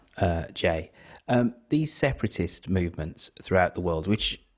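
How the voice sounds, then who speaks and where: In a British accent, a man speaks at a fairly slow pace with very wide pitch swings, on a very clean recording with a silent background. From Britain. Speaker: podcast host. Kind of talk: interview.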